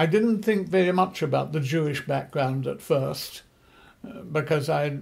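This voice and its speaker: Somewhat breathy, the man's voice sits at a fairly high pitch. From England. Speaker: missionary and theology teacher. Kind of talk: interview.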